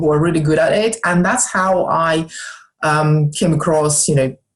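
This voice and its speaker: A woman with a Russian accent speaks at a moderate pace in a very deep, low pitch that is somewhat breathy. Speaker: snooker club owner and wellness entrepreneur. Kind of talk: podcast interview. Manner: hesitant, many fillers.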